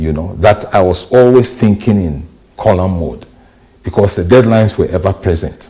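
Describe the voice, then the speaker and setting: A man speaks at a moderate pace with a fairly low pitch and ordinary pitch variation. His tone is dark and mellow, and somewhat breathy. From Ghana. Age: 60s. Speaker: journalist and media trainer. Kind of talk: interview.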